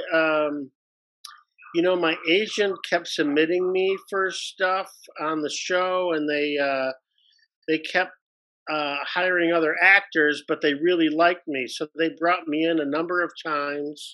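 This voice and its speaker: Talking at a fairly slow pace, this man has a fairly high pitch, fairly even intonation and an ordinary speaking voice. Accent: American. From US Midwest, Detroit, Michigan. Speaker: actor and improviser. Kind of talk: casual interview.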